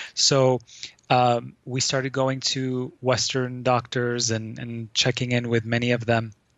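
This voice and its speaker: The intonation is monotone and flat. Delivery is at a fairly slow pace. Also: man, medium pitch for a man. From Lebanon. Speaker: healing practitioner and author. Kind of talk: casual interview.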